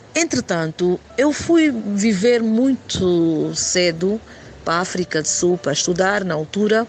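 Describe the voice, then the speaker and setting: With noticeable background noise around her, a woman speaks at a fairly slow pace using lively intonation. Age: 40s. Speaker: poet and spoken-word performer. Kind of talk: interview. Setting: WhatsApp call.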